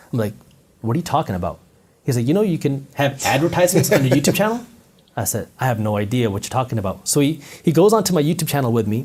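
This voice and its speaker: Talking very fast in an American accent, a man with a fairly high pitch and vocal fry swings very widely in pitch. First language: not English. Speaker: entrepreneur and finance content creator. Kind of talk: interview storytelling. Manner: animated.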